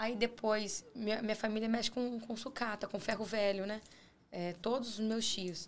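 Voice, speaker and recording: Fairly even intonation in a woman's fairly high voice, moderately paced. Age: 30s. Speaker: real estate broker. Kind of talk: podcast interview.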